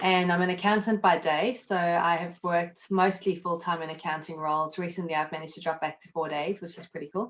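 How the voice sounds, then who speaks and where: The pace is fairly quick, with hardly any pauses. Intonation stays fairly even, though loudness swings widely. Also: woman, fairly low pitch for a woman. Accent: South African. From South Africa. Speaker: accountant and network marketer. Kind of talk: interview. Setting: live video stream from home.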